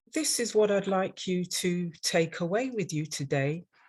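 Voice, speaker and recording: A woman's somewhat breathy, fairly low voice with an English accent, very slow in pace with ordinary pitch variation, against a quiet background. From London, England. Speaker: dental hygienist and instructor. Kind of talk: webinar presentation.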